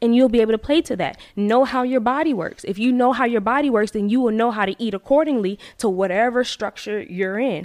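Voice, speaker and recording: A woman with a plain, everyday voice talks at a fairly quick pace with hardly any pauses, her fairly high pitch varying in an ordinary way. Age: 20s. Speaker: hairstylist and salon owner. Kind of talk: casual chat.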